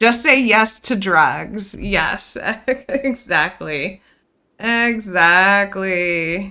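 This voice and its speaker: The tone is bright and sharp, with ordinary pitch variation, at a very slow pace. The recording is very clean against a silent background. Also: woman, medium pitch for a woman. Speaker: video game streamer. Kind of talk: live gameplay stream chat. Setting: live stream. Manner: loud.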